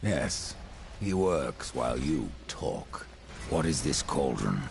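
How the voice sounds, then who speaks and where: Using a put-on character voice with a very deep, low pitch, a man speaks at a very slow pace over clear background noise. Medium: video game. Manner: terse, grim.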